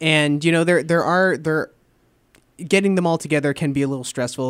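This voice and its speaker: There is a man talking with an American accent. Behind him is total silence, and the recording is very clean. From New Jersey and New Hampshire. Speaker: college student radio DJ. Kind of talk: radio interview. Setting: radio studio. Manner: halting.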